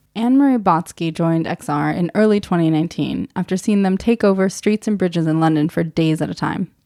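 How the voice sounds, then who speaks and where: A woman with an American accent speaks at a very fast pace with hardly any pauses, a fairly low pitch, ordinary pitch variation and a dark, mellow tone, in a very clean recording with a silent background and a dry, close sound with no echo. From Germany. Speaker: podcast host. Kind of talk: scripted narration.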